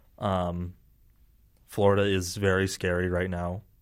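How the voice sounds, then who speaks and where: Very deep and low, the man's voice holds a monotone, flat intonation at a fairly slow pace. The recording is very clean, with a silent background. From Utah (Salt Lake area suburbs). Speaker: university student. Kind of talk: casual interview.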